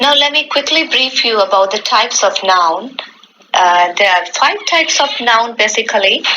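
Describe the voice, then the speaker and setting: Over noticeable background noise, a woman talks at a fairly high pitch with lively intonation and very even loudness. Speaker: English professor. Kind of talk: lecture. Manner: formal; slow.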